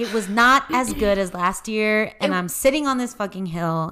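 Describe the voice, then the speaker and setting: At a moderate pace, a woman talks in an ordinary speaking voice, medium in pitch with ordinary pitch variation. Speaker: podcast host. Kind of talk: casual chat.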